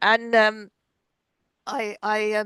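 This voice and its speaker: A German accent in a dry, close sound with no echo and a quiet background. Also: woman. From Germany. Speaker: podcast host. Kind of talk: interview conversation.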